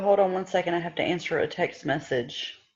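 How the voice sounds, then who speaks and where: A woman in a Southern US accent, with music in the background. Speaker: direct sales team leader. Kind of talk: online team meeting.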